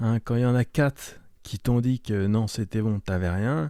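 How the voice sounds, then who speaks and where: On a very clean recording with a silent background, a man speaks fairly slowly in a dark, mellow tone. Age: 60s. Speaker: podcast host. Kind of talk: casual monologue. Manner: hesitant.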